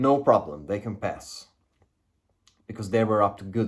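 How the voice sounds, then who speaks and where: A man with a non-native accent talks at a medium pitch. The recording is very clean, with a silent background. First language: not English. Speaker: spiritual video creator. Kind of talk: casual monologue. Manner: halting.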